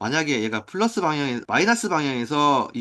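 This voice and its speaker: Very fast and bright, sharp in tone, a man rattles off his words. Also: quiet background. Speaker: math teacher. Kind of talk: lecture. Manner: casual.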